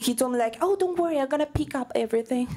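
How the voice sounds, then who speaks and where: A high-pitched woman's voice swings very widely in pitch. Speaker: stand-up comedy student. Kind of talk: stand-up comedy set. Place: stage. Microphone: handheld.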